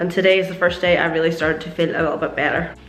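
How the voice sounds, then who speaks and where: A woman at a very fast pace, over noticeable background noise. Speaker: car detailing vlogger. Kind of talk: casual talk to camera.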